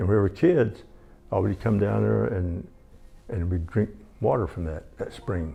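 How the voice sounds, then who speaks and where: In an American accent, a man speaks with a very deep, low pitch and a dark, mellow tone that is somewhat breathy. His pitch varies in an ordinary way, and the background is quiet. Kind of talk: interview testimony.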